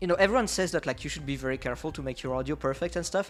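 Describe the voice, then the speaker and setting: Music plays in the background as a man speaks with a French accent. His pitch variation is ordinary. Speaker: streamer. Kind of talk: casual chat. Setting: live stream. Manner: halting.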